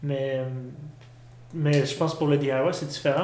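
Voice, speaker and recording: A man talks at a fairly slow pace with a fairly high pitch and monotone, flat intonation. Noticeable background noise and audible room echo fill the recording. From Quebec, Saint-Hyacinthe. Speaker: experimental musician, drummer. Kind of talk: interview. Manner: halting.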